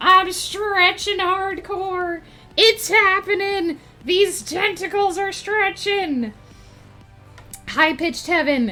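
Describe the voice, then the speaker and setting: A woman uses a put-on character voice, raised and projected, at an extremely high pitch and a very slow pace. Long, frequent pauses break it up, with faint music in the background. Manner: playful, exaggerated.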